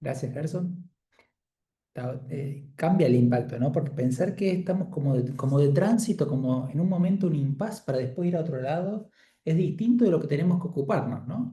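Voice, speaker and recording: A somewhat breathy man's voice, fairly high in pitch, with a dark, mellow tone, ordinary pitch variation and a moderate pace. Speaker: Bible study leader. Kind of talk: group Bible study facilitation.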